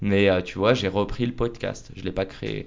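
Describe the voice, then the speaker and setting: Monotone, flat delivery from a man at a fairly low pitch. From Paris. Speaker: podcaster and entrepreneur. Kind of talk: casual interview. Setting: office studio.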